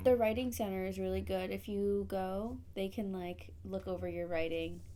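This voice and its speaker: Room echo is audible, along with noticeable background noise. Through it, a woman talks at a moderate speed. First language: Spanish. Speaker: podcast host; study abroad alumna. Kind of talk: casual chat.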